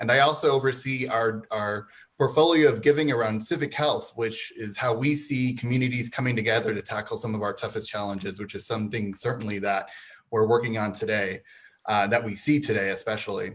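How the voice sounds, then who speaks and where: With an American accent, a man speaks at a fairly quick pace and medium pitch in a normal speaking voice, with ordinary pitch variation. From southern Arizona. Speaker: nonprofit foundation officer. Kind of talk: panel discussion.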